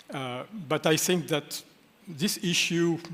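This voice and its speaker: This man speaks with a French accent. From France. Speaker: lawyer. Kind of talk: panel discussion. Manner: hesitant, many fillers.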